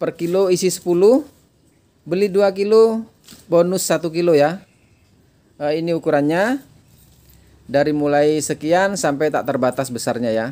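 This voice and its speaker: Long, frequent pauses break up a man's high-pitched voice, which has a dark, mellow tone. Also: ordinary pitch variation, fairly slow pace. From East Java, Indonesia. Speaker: online orchid seller. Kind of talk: sales pitch. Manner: brisk, rattling off prices and sizes; chatty, repeating "ya" to hold buyers' attention. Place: garden. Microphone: phone near.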